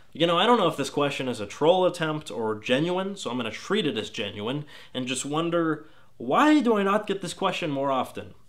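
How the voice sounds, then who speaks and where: A man's fairly high voice with an American accent, fairly quick, with very wide pitch swings. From Texas. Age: 20s. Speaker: gaming video critic. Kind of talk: casual Q&A vlog.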